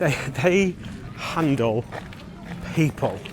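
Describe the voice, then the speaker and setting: Over noticeable background noise, a man with a Lancashire accent speaks at a fairly high pitch with very wide pitch swings. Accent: Wigan. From northern England, Wigan. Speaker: theme park vlogger. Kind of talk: walking vlog narration. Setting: outdoors at a theme park.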